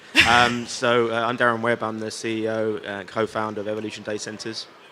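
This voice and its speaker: A man speaks with monotone, flat intonation. Noticeable background noise can be heard. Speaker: company CEO. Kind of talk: panel discussion. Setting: conference stage with audience.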